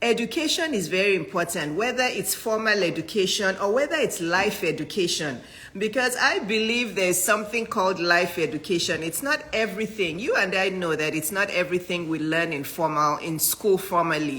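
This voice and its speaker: Over noticeable background noise, a woman at medium pitch talks at a fairly quick pace with lively intonation and hardly any pauses. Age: 50s. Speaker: physician and business coach. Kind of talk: live-stream talk to viewers.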